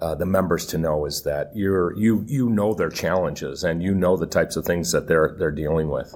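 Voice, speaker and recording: A man with an American accent speaks at a very deep, low pitch with ordinary pitch variation. He keeps a moderate pace with hardly any pauses, over noticeable background noise. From Michigan, US. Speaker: podcast host. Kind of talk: interview. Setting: live at a conference.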